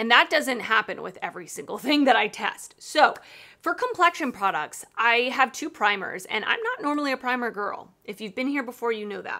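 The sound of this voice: The intonation is lively and the tone bright and sharp. The moderate pace carries few pauses. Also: woman, fairly high pitch for a woman.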